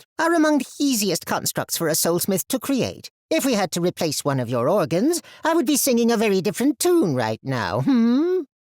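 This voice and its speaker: In a put-on character voice, a man speaks at a high pitch with very wide pitch swings, a moderate pace and hardly any pauses, on a very clean recording with a silent background. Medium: read story. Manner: ends sentences with a musing "hmm".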